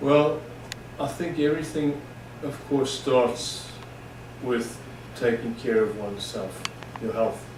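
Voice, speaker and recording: Speaking very slowly with long, frequent pauses, a man uses a medium pitch and ordinary pitch variation. Audible room echo and noticeable background noise surround his voice. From South Africa. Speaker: personal trainer and gym owner. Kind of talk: interview.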